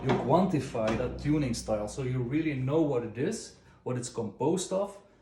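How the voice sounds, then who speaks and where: Noticeable background noise and audible room echo around a man with a non-native accent, medium pitch, lively intonation and a fairly quick pace. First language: not English. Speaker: drum tuning tutor. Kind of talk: tutorial. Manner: relaxed, hesitant with fillers.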